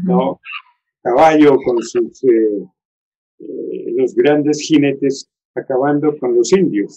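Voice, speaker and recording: This man's tone is dark and mellow, with a fairly high pitch and ordinary pitch variation. He talks at a very slow pace, with long, frequent pauses. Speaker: teacher, historian and lawyer. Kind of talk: interview answer.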